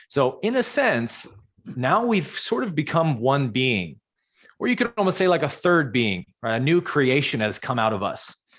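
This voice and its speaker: This man speaks in an American accent at a moderate pace. His fairly high voice makes very wide pitch swings. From US West Coast, San Jose California. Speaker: spiritual teacher. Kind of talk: live Q&A on a video call.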